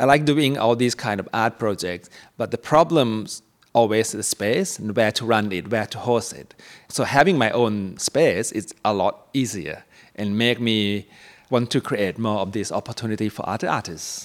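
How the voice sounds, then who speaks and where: This man has a medium-pitched voice and a Thai accent. His pitch varies in an ordinary way. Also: moderate pace. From Thailand, Bangkok. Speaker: ceramic artist. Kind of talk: interview.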